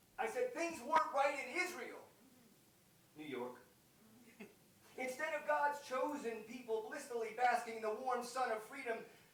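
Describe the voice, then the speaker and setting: Over noticeable background noise, a man with an extremely high pitch speaks with long, frequent pauses. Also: ordinary pitch variation, moderate pace. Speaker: United Methodist pastor delivering a poetry sermon. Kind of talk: slam poetry sermon delivered live to an audience. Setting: live concert venue, chapel.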